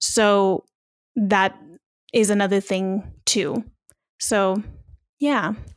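In a very clean recording with a silent background, a woman with a Californian accent speaks very slowly at a medium pitch, leaving long, frequent pauses and keeping her intonation fairly even. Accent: Californian American English. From US West Coast, Long Beach, California. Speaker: podcaster and entrepreneur. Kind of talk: casual interview.

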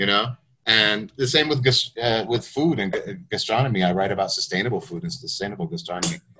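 A man with an American accent talks at a fairly quick pace in a plain, everyday voice. His medium pitch carries lively intonation. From United States. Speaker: journalist and writer. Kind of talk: interview.

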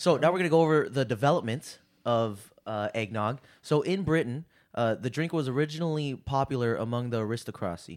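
In a normal speaking voice at a medium pitch, a man talks at a fairly quick pace with lively intonation on a very clean recording with a silent background. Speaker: podcast co-host. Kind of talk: casual banter. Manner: jokey, teasing.

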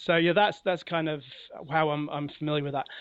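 A man with a London accent, fairly high in pitch, with fairly even intonation. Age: 40s. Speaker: comic book writer. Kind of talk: interview. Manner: halting.

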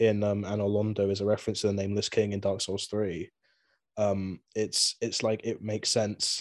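In a very clean recording with a silent background, a man with a southern English accent talks at a fairly quick pace in a fairly low voice. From southern England (Swindon, Wiltshire). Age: 20s. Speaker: musician and video game fan. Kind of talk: casual chat.

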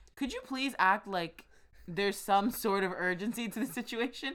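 A woman with an American accent speaks in a plain, everyday voice. The recording is very clean, with a silent background. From USA. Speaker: co-host. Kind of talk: casual chat.

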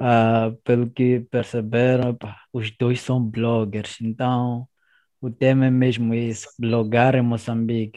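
With a dark, mellow tone and monotone, flat intonation, a man of medium pitch speaks at a very slow pace. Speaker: podcast host. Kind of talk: casual chat.

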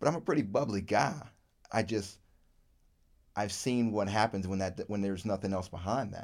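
A man with an American accent and a fairly low pitch speaks at a moderate pace with long, frequent pauses in a very clean recording with a silent background. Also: ordinary pitch variation. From Virginia, US South. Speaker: podcast co-host. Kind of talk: casual chat.

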